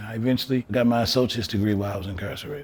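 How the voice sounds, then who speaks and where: The speech runs at a very fast pace over music in the background. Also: man. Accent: American. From Evanston, Illinois. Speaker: formerly incarcerated advocate. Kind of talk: interview answer.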